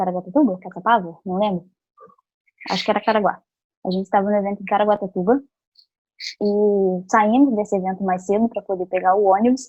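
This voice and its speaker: In an ordinary speaking voice, a woman with a medium pitch talks at a fairly quick pace with fairly even intonation. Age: 20s. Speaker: psychologist and youth club trainer. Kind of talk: training lecture.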